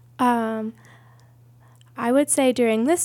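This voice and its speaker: This woman's voice has a dark, mellow tone and an American accent. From USA, military family moving around. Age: 30s. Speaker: church member sharing testimony. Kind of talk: testimony.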